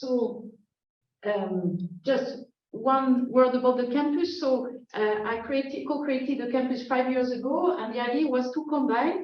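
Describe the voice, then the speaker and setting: Amid audible room echo, a woman with a French accent speaks at a high pitch and a fairly slow pace, with ordinary pitch variation. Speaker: professor. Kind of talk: lecture. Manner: halting.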